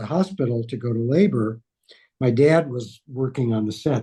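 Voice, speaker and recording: Some breathiness colors this man's dark, mellow tone. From Los Angeles, US West Coast. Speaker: priest. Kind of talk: casual chat.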